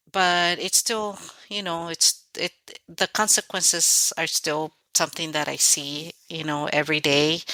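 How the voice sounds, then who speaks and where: In a dry, close sound with no echo, a woman with a fairly low pitch and a bright, sharp tone talks at a fairly slow pace with fairly even intonation. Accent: Spanish. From Mexico (Guerrero), raised in California from age ~10. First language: Spanish. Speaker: author. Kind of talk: interview.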